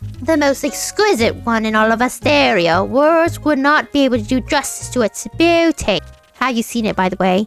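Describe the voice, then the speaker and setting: A woman uses a put-on character voice at a fairly high pitch. She keeps a moderate pace while faint music plays behind her. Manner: pompous, theatrical.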